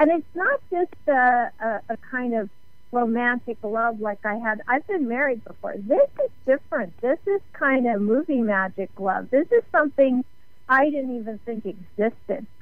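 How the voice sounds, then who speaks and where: Over music in the background, a woman talks at a moderate pace with a high pitch and lively intonation. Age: 60s. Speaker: author and radio host. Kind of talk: radio interview.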